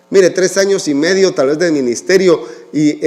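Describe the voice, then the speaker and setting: A man's voice sits high in pitch as he talks at a moderate pace. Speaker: pastor. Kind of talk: sermon.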